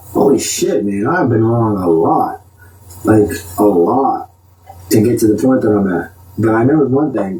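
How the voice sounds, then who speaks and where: A man speaks at a medium pitch with lively intonation. He leaves long, frequent pauses. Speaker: vlogger ranting to camera. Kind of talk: monologue rant. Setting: talking to a camera. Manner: fast; animated.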